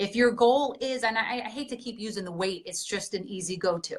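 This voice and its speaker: With a normal speaking voice, a woman speaks at a fairly high pitch with ordinary pitch variation. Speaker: fitness coach. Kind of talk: seminar presentation.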